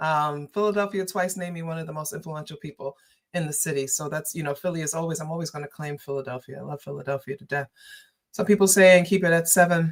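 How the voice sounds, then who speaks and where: A woman with a New York accent speaks very fast, her pitch very deep and low. Her intonation is fairly even, but her loudness swings a lot. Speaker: political commentator and livestreamer. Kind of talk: livestream chat. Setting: livestream. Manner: casual, conversational.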